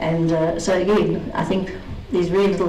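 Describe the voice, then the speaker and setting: Speaking at a fairly quick pace with ordinary pitch variation, a woman is heard with audible room echo and noticeable background noise. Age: 50s. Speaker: racing driver and truck business woman. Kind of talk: conference talk.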